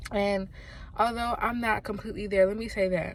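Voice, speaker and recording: Audible room echo surrounds the speaker, a woman. She talks at a fairly quick pace. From US South. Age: 20s. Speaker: vlogger. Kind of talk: casual vlog monologue. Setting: in a car in a parking lot. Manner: casual, rambling with fillers.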